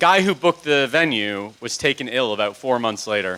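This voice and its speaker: With lively intonation and a moderate pace, a man speaks through noticeable background noise. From Canada (Toronto). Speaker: music industry consultant and panel moderator. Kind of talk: public talk.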